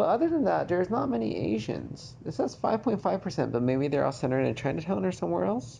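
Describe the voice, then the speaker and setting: A very fast man's voice with an American accent, medium pitch, vocal fry, very wide pitch swings and very even loudness. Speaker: vlogger. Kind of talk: casual monologue vlog. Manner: reflective, conversational.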